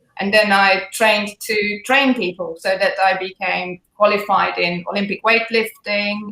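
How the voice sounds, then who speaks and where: Speaking at a fairly slow pace with a slight British accent, a woman uses a medium pitch and ordinary pitch variation. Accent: slight British accent picked up. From Hungary. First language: Hungarian. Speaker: fitness trainer. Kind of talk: live interview.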